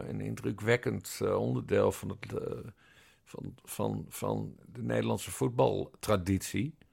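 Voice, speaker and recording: A man speaks. His pace is very slow. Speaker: podcast co-host, journalist. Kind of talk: casual chat.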